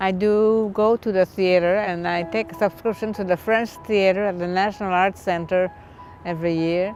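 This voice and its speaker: Over music in the background, a woman talks at medium pitch and a moderate pace with fairly even intonation. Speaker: stroke survivor. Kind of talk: testimony.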